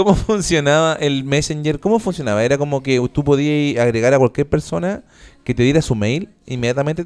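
A man's fairly high voice in a Chilean accent, fairly quick with ordinary pitch variation, in a very clean recording with a silent background. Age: 30s. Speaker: podcast host, radio presenter. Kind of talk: casual chat.

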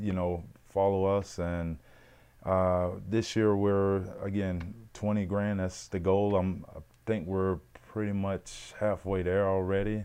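A man's very slow, fairly low, dark and mellow voice with monotone, flat intonation and a Mississippi accent. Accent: Southern US (Mississippi). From US South, Mississippi. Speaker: former pro football player. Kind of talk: casual chat.

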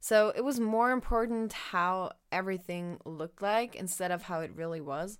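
A woman speaks at medium pitch and a moderate pace with ordinary pitch variation and hardly any pauses. The recording is very clean, with a silent background. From Germany. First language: German. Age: young. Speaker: former au pair. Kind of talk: casual chat.

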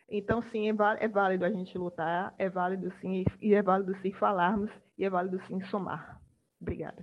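A woman talks at a fairly quick pace with fairly even intonation. She has an unremarkable speaking voice. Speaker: public policy researcher. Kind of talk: panel discussion.

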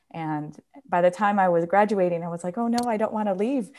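On a very clean recording with a silent background, a woman with an American accent speaks in a normal speaking voice, medium in pitch with fairly even intonation. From New York, small town. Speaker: professor of ethnomusicology. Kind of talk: casual interview.

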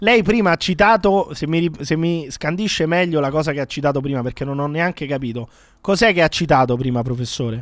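Lively intonation marks this man's plain, everyday voice. His pitch is fairly high and his pace fairly quick. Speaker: podcast host. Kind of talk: casual comedic banter. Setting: remote video call.

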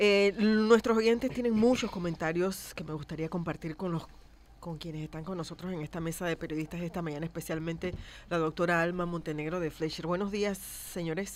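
With a plain, everyday voice, a woman talks at a fairly quick pace and a fairly low pitch, with ordinary pitch variation. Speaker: radio host. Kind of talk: radio talk show.

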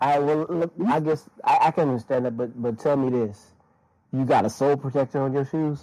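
A man with an American accent talks at a fairly quick pace, his fairly high pitch carried by a dark, mellow tone. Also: ordinary pitch variation. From Florida. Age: 30s. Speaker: sneaker collector and DJ. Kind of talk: casual group chat. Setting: online audio room.

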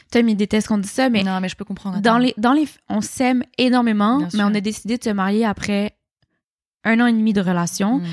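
In a Quebec accent, a woman talks at a very fast pace with fairly even intonation. Her fairly high voice has a dry, close sound with no echo. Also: very clean recording, silent background. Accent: Québécois. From Quebec, Montreal (Rosemont). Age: 20s. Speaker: interviewee on a dating podcast. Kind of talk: casual interview chat.

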